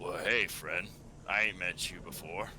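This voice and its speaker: Over clear background noise, a man uses a raspy, put-on character voice at a moderate pace. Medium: actual play. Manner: casual, folksy.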